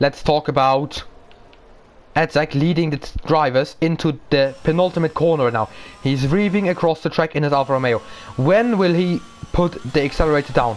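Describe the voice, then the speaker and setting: With a German accent, a man talks at a fairly quick pace and fairly high pitch. His pitch varies in an ordinary way, and he leaves long, frequent pauses. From Germany. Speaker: sim racing commentator. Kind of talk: live commentary. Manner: animated.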